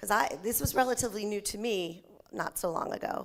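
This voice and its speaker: With ordinary pitch variation, a woman talks at a medium pitch. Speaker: nonprofit agency presenter. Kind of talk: conference presentation. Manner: fast.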